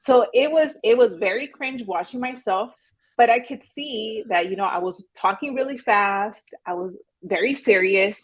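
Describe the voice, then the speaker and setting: A woman with a normal speaking voice, fairly high in pitch, at a moderate pace, with lively intonation and big swings in loudness. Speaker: real estate agent and YouTuber. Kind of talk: podcast interview.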